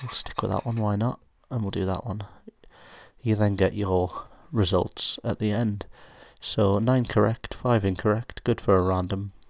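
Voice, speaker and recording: Quiet and fairly low-pitched, a man with a British accent talks at a moderate pace with fairly even intonation and long, frequent pauses, on a very clean recording with a silent background. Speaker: student pilot, app reviewer. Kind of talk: tutorial. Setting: at home at night, housemates asleep. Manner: quiet, speaking low; hesitant, many fillers.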